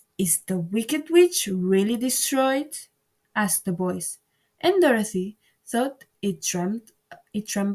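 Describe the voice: The voice is plain reading aloud with lively intonation. The background is quiet.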